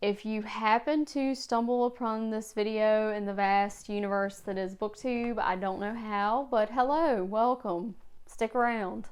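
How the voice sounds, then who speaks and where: A woman with an American accent speaks at a fairly slow pace and fairly even intonation. The recording is very clean, with a silent background. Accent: regional accent, noticeable (she dislikes it). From rural Virginia, US. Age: 30s. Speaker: booktuber, high school librarian. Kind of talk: casual vlog monologue.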